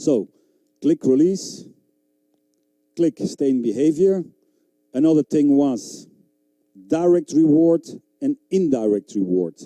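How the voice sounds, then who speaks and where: A man with a dark, mellow tone and a fairly high pitch speaks very slowly in a non-native accent, with long, frequent pauses. His intonation is lively, his loudness very even, and the sound dry and close with no echo. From Belgium (Flanders). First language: Flemish. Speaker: dog trainer. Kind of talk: seminar lecture. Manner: animated.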